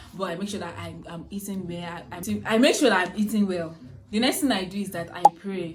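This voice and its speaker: A woman's medium-pitched voice at a moderate pace with ordinary pitch variation, plus noticeable background noise and audible room echo. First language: a native language other than English. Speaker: student YouTuber. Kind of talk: casual vlog talk to camera. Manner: halting, many fillers and restarts.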